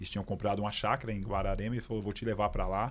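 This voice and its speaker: On a very clean recording with a silent background, a man speaks at a fairly low pitch with fairly even intonation, in a plain, everyday voice. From São Paulo, east side (Itaim Paulista). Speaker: police sergeant and pastor. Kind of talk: personal testimony in casual interview.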